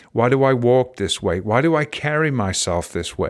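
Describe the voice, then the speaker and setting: In a very clean recording with a silent background, a man with an English accent speaks at a medium pitch and a fairly slow pace, his pitch swinging very widely. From England. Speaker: podcast host and life coach. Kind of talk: motivational talk.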